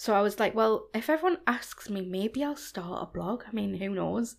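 A woman with a Geordie accent speaks at a moderate pace on a very clean recording with a silent background. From Newcastle, northeast England. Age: 30s. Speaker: fashion blogger. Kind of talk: casual chat.

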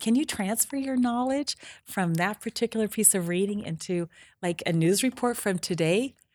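An ordinary speaking voice: a woman with an American accent, moderate pace and lively intonation. The sound is dry and close with no echo, on a very clean recording with a silent background. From southeastern Idaho, US. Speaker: political candidate, retired teacher. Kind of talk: interview.

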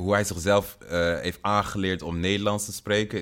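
This man has a plain, everyday voice with a fairly low pitch. He talks at a moderate pace. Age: 30s. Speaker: rapper and music producer. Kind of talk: recorded spoken message; casual interview.

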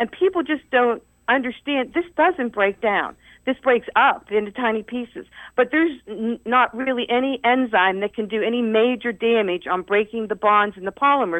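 An unremarkable speaking voice with an American accent, at a moderate pace, with lively intonation. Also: woman, fairly high pitch for a woman. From Ohio Valley, eastern Ohio. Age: 60s. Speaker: retired research chemist, environmental activist. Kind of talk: radio interview. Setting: radio studio.

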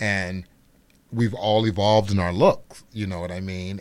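Here is a man with an unremarkable speaking voice and an American accent. His pitch is fairly low, and the recording is very clean with a silent background. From Chicago, Illinois. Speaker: celebrity hairstylist. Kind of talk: casual chat.

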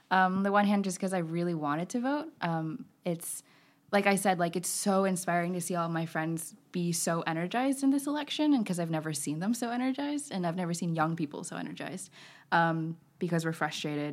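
On a very clean recording with a silent background, a woman with an American accent and an unremarkable speaking voice talks at a fairly quick pace, fairly low in pitch, with lively intonation. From Texas. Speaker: college student. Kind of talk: casual interview. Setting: studio.

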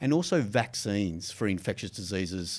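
In a very clean recording with a silent background, a man with an Australian accent talks at a fairly low pitch. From Australia, Gold Coast. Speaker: biotech institute general manager. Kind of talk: interview. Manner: hesitant, with fillers.

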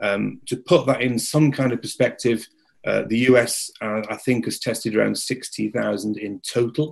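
At a fairly slow pace, a man speaks with an English accent. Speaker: industry media company owner. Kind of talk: webinar presentation. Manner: halting, many filler words.

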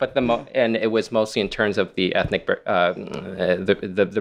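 A man's normal speaking voice, fairly slow and fairly even in intonation, against a quiet background. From Canada, Toronto. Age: 40s. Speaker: illustrator and art instructor. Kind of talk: panel discussion. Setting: live event venue.

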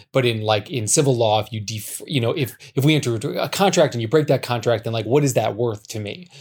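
Somewhat breathy, a man with an American accent talks at a very fast pace with hardly any pauses. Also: medium pitch for a man, ordinary pitch variation. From United States. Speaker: novelist. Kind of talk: interview.

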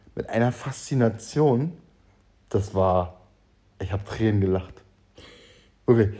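Somewhat breathy, a man speaks with a dark, mellow tone at a medium pitch and moderate pace, with ordinary pitch variation. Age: 30s. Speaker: podcast co-host. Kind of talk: casual chat.

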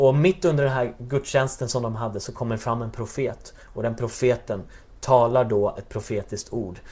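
A man speaks at a moderate pace with ordinary pitch variation. His tone is dark and mellow and somewhat breathy. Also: medium pitch for a man. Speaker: church worker, pastor's son. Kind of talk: interview about faith and testimony.

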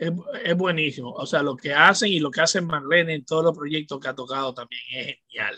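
A man with a Dominican accent talks at a fairly quick pace with ordinary pitch variation. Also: fairly high pitch for a man. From Dominican Republic, Santo Domingo. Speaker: music journalist and radio host. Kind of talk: casual chat.

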